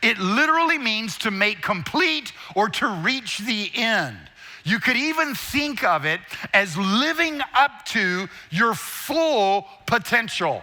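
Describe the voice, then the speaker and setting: A man's raised, projected voice, high in pitch, at a very slow pace with very wide pitch swings and noticeable background noise. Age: 60s. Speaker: guest preacher and speaker. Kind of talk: sermon.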